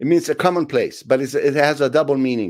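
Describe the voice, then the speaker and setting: A man with an Italian accent talks at a very fast pace in a fairly high pitch. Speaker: film director. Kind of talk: interview. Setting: video call.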